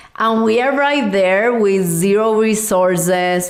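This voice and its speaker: With noticeable background noise and audible room echo, a woman of medium pitch speaks with fairly even intonation in a Puerto Rican accent. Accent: largely Puerto Rican Spanish. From Cuba and Puerto Rico. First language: Spanish. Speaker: podcast host, life coach. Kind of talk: personal podcast monologue.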